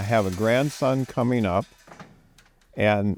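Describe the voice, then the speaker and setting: A man with a Midwestern US accent speaks at a very slow pace and a fairly low pitch, with lively intonation. The sound is dry and close with no echo. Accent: US Midwest. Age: 70s. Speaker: farmer and landowner. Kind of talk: documentary interview.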